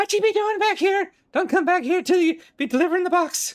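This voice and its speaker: A shrill, put-on character voice at an extremely high pitch rattles along at a fairly quick pace. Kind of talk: street slang.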